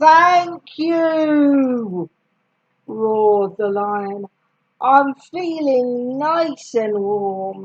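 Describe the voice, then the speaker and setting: Bellowing in a put-on character voice, a woman speaks at a very slow pace with a high pitch. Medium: read story. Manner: roaring.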